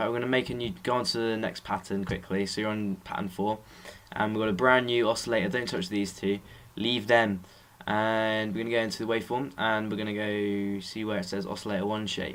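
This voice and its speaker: In an English accent, a man with a fairly low pitch speaks with monotone, flat intonation. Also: fairly quick pace. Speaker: music production tutor. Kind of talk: tutorial. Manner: fast; casual.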